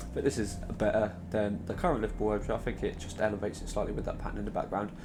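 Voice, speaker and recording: A man talks very quickly amid noticeable background noise, with audible echo from the room. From southern England, Southampton. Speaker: football shirt designer YouTuber. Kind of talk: casual video commentary. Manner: quiet.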